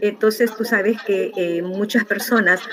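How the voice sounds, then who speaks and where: With noticeable background noise behind her, a woman talks fairly slowly at a medium pitch with ordinary pitch variation. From El Salvador, rural. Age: 60s. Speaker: interviewee sharing life story. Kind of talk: interview testimony. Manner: halting, many fillers.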